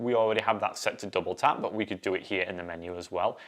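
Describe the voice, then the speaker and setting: This is a man with an English accent. His voice sits at a fairly low pitch. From northern England, Yorkshire (Ossett). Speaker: assistive technology specialist, co-host. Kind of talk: live show chat; tutorial. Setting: live stream.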